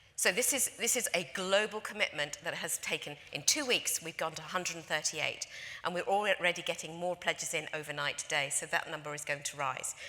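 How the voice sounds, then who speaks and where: A woman with a London accent talks at a fairly quick pace with hardly any pauses, her fairly low pitch moving with ordinary variation. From London, England. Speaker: conference speaker, industry association representative. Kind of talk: conference presentation. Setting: stage with audience.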